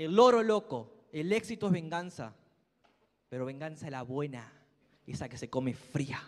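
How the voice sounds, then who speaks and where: A man talks in a fairly high pitch with very wide pitch swings and big swings in loudness. Long, frequent pauses break up his speech. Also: moderate pace. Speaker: motivational speaker at a sales business event. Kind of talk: motivational speech. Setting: stage with audience. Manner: loud, animated.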